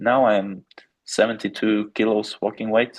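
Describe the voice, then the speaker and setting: A man with a Norwegian accent. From Norway. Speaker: amateur boxer. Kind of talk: interview. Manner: halting, many fillers.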